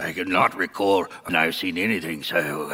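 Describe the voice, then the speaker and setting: Over light background noise, a put-on character voice speaks at a moderate pace with fairly even intonation. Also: man, very deep, low pitch for a man. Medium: old radio play. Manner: chuckling, genial, mock-formal.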